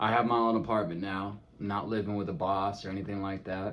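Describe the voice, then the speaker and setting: This man talks with a slight Californian accent. His pace is fairly quick. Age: 20s. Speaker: vlogger. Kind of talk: casual vlog monologue. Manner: animated.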